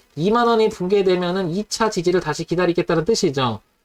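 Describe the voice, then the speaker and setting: A man with a high pitch talks at a very fast pace in a dry, close sound with no echo. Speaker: stock market analyst hosting live stream. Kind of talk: live-streamed stock chart analysis.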